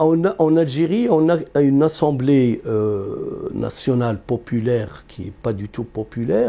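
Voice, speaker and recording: A man talks at a very slow pace in a medium pitch. His intonation is lively. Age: 60s. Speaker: economist. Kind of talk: interview. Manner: halting, many repetitions.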